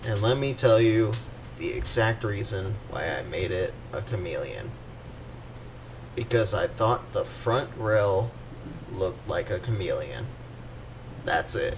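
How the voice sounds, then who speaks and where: A man's voice at a fairly slow pace, with long, frequent pauses and noticeable background noise. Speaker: gaming YouTuber. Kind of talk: casual unscripted commentary. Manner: halting, stuttering.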